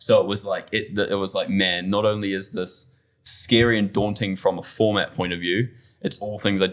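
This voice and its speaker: A man with a New Zealand accent talks at a moderate pace, fairly low and monotone. The recording is very clean, with a silent background. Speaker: bartender. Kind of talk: casual chat. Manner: halting.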